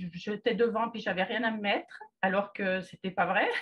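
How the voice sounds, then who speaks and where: The voice is somewhat breathy. This woman talks at a fairly slow pace. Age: 60s. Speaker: client giving testimonial, retired secretary. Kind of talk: testimony. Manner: halting, frequent hesitations.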